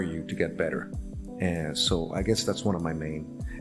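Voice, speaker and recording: The pitch swings very widely at a moderate pace. Music plays in the background. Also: man. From Laredo, Texas. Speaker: actor, voice actor. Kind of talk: interview answer.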